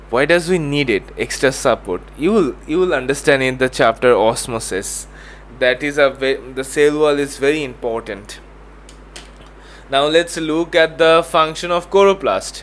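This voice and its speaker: Moderate pace with ordinary pitch variation. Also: man, fairly high pitch for a man. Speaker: tutor. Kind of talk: tutorial. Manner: halting.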